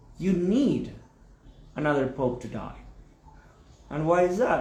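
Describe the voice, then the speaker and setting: Here a man talks with an Argentine accent at a fairly slow pace. Room echo is audible. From Argentina. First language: Spanish. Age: 40s. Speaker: spiritual teacher. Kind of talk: video explainer monologue. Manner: halting, with false starts.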